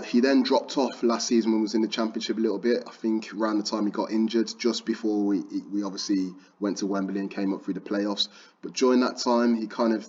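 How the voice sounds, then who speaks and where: A man with a Birmingham accent, fairly low pitch, fairly even intonation and a fairly quick pace. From Birmingham, England. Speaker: football trading YouTuber. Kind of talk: tutorial. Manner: casual, conversational.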